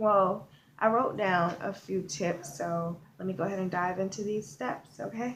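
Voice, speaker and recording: Quiet and somewhat breathy, a woman of medium pitch speaks at a moderate pace. Room echo is audible. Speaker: online marketing vlogger. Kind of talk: video tutorial. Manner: kept quiet, subdued; casual with many fillers.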